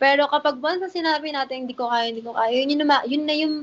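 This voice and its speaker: The tone is animated. The delivery comes at a very fast pace. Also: woman. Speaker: influencer and business owner. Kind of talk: casual interview.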